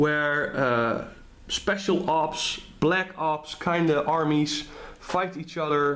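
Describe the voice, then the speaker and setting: A man with a Dutch accent and a fairly high pitch. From Netherlands. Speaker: tabletop wargame hobbyist. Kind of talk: casual talk to camera. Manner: hesitant, many fillers.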